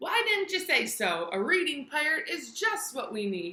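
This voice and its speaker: Growling in a put-on character voice, a woman speaks high in pitch at a moderate pace with very wide pitch swings. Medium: read story. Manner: growling pirate talk.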